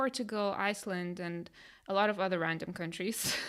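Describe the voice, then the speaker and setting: A woman's medium-pitched voice with a Lithuanian accent. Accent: Lithuanian accent, noticeable. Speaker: life coach, podcast co-host. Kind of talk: casual chat.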